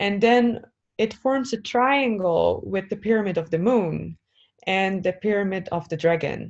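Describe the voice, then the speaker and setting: Here is a woman with an unremarkable speaking voice at a medium pitch, against a quiet background. Her pitch varies in an ordinary way at a fairly slow pace. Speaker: spiritual sound healer. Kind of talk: interview.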